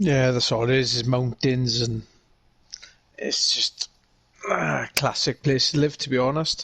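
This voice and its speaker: Speaking fairly slowly in a strong British accent, a man with a medium pitch and ordinary pitch variation leaves long, frequent pauses, the sound dry and close with no echo. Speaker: gamer guest. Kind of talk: casual chat.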